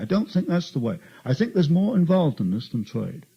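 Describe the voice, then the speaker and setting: With a dark, mellow tone and a somewhat breathy edge, a man's voice swings very widely in pitch. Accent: non-native. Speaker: author and researcher. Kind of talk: talk to an audience. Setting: meeting with audience.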